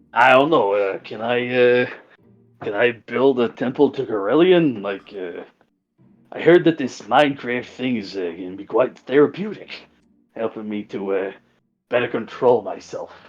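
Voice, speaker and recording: A man puts on a character voice at a medium pitch. He talks at a moderate pace over a quiet background. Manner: mellowed out, relaxed.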